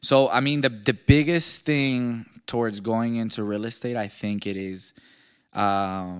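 A man speaks at a fairly slow pace with a fairly low pitch and ordinary pitch variation. The recording is very clean, with a silent background. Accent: slight Venezuelan. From Venezuela, Maracaibo (moved to US at eight). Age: 20s. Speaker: realtor and entrepreneur. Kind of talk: interview, personal life story.

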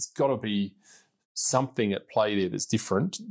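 A fairly low-pitched man with an Australian accent, at a fairly quick pace with fairly even intonation. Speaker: podcast host and politician. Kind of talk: interview. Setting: parliament building.

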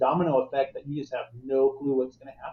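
Somewhat breathy, a man talks in an American accent. His pace is very fast. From Arizona. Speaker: guest on faith podcast about infertility. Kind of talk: casual interview chat.

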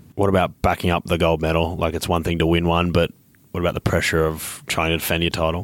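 Speaking very fast in an Australian accent, a man with a very deep, low voice keeps a flat, monotone delivery on a very clean recording with a silent background. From Queensland, Australia. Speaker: podcast host. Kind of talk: interview.

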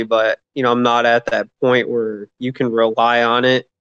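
At a fairly slow pace, a man with an American accent speaks in an ordinary speaking voice of medium pitch, with a dry, close sound and no echo. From Michigan. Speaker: stand-up comedian. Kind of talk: casual interview chat.

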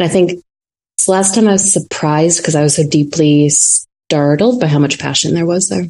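Speaking at a fairly quick pace, this woman has a fairly low pitch and a dark, mellow tone. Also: ordinary pitch variation. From North Dakota, Fargo. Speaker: research strategist. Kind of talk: casual interview. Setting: video call.

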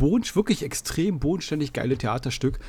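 Lively intonation carries a somewhat breathy voice. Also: man. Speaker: podcast host. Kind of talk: casual chat.

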